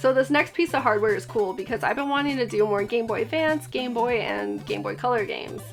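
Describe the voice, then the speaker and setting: Music plays in the background as a woman talks at a fairly quick pace. Her tone is upbeat, and she leaves hardly any pauses. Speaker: retro game collector. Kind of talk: casual talk to camera.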